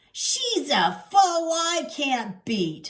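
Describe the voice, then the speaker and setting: A woman does a put-on character voice at an extremely high pitch. Her pitch swings very widely. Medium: read story. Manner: slangy, hustler talk with 'yo' and 'uh'.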